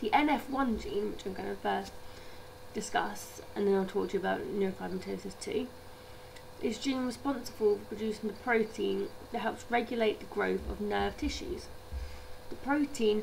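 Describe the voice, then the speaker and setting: A woman with a British accent amid audible room echo and noticeable background noise. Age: 20s. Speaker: healthcare assistant and video blogger. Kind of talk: informational vlog.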